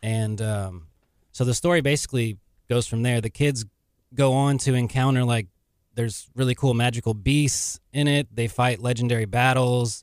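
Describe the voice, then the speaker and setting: A man with an American accent in a normal speaking voice, medium in pitch, at a moderate pace with fairly even intonation, on a very clean recording with a silent background. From Texas. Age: 30s. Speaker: novelist and physical therapist assistant. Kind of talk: radio interview. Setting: radio studio.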